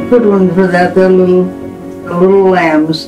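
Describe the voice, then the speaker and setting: Over clear music in the background, a woman speaks at a fairly slow pace with ordinary pitch variation. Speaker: grandmother. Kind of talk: farewell message to family. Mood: tender, calm farewell. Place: home room.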